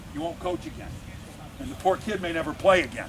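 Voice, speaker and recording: A man speaks over noticeable background noise. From New England (Cape Cod area). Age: 60s. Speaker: football coach. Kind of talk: coaching clinic talk.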